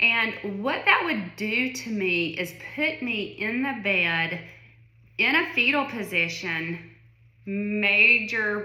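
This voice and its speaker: Someone with a Southern US accent speaks amid audible room echo and noticeable background noise. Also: woman. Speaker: vlogger sharing illness experience. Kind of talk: personal testimony monologue. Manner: casual, conversational with many fillers.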